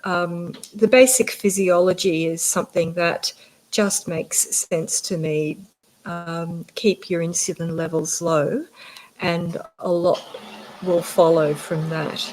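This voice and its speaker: A woman with an Australian accent speaks in a fairly even intonation, leaving long, frequent pauses. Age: 50s. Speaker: general practitioner. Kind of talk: interview.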